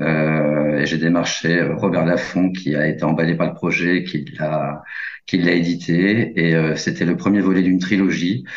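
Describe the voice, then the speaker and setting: A man's very deep, low voice, very slow, with fairly even intonation and very even loudness, plus audible room echo and noticeable background noise. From rural France. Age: 40s. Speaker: journalist and crime novelist. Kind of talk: interview. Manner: halting, many fillers.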